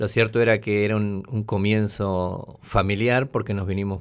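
In a very clean recording with a silent background, a man speaks in a fairly low pitch with monotone, flat intonation. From Argentina, Tucumán. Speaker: war veteran. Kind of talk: testimony.

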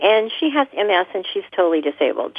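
Speaking with an American accent, a woman uses an unremarkable speaking voice at a moderate pace with lively intonation. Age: 60s. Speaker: home care worker. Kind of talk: interview.

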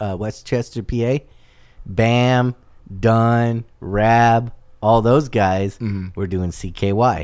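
The man has a medium pitch with ordinary variation and speaks in an American accent. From Southern California, South Bay (Torrance). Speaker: restaurant owner. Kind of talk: casual chat.

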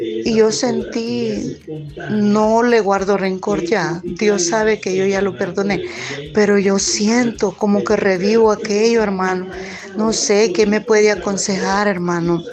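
Amid noticeable background noise and audible room echo, a woman talks very slowly at a medium pitch with ordinary pitch variation. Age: 50s. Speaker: listener leaving a voice message. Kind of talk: testimony. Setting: recorded voice message. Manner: halting.

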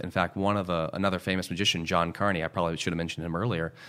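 A man's very deep, low voice with an American accent, on a very clean recording with a silent background. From Houston, Texas. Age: 30s. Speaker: magician. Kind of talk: interview. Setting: studio.

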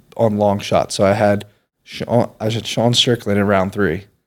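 A man with an American accent talks at a fairly slow pace in a fairly low pitch with flat, monotone intonation on a very clean recording with a silent background. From York, Pennsylvania. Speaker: sports betting content creator. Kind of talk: casual chat.

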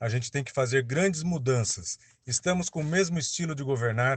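Against a quiet background, a man with a somewhat breathy voice talks at a moderate pace with ordinary pitch variation. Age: 50s. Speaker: mayoral candidate, professor. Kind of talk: campaign statement.

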